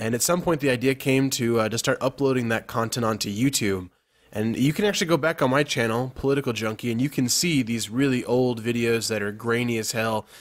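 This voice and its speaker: A man speaks in a plain, everyday voice at medium pitch with ordinary pitch variation. His pace is fairly quick, with hardly any pauses. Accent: American. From Texas. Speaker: youtuber podcast host. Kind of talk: casual chat.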